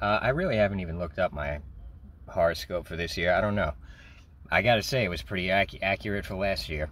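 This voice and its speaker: Heard in a dry sound with no echo, a man speaks at a moderate pace with vocal fry. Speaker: vlogger. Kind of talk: casual vlog chat. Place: car. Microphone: phone near.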